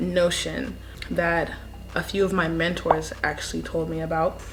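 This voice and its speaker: A woman talks in a room with audible echo. Noticeable background noise runs underneath. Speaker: vlogger. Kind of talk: casual vlog chat.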